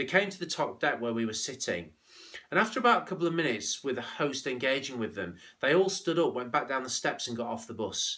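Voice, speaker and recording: A man with a slight Scouse accent, very fast, with a bright, sharp tone, fairly high pitch and very wide pitch swings. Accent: slight Scouse twang. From northern England, St Helens on Merseyside. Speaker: business leadership speaker. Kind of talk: motivational business talk.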